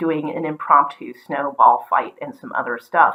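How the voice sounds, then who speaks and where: A woman with an American accent speaks at a moderate pace in a fairly low voice. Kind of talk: casual talk to camera.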